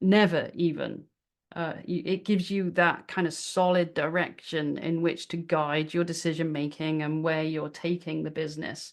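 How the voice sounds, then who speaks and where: With a British accent, a woman speaks in a flat monotone at a moderate pace. Her pitch is fairly low, and the background is quiet. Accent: British accent, noticeable. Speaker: business workshop presenter. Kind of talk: webinar presentation. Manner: casual, with many fillers and repetitions.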